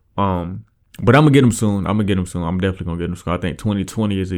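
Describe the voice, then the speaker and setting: Mumbling at a very fast pace, on a very clean recording with a silent background. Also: man. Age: 20s. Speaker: podcast host. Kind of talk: casual monologue. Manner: hesitant, many fillers.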